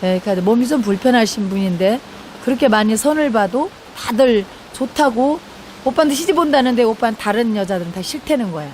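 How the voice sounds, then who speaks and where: With a strong Jeolla accent and lively intonation, a woman speaks over noticeable background noise. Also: fairly high pitch for a woman. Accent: thick Jeolla dialect. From South Korea, Jeolla. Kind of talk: testimony. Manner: conversational, halting.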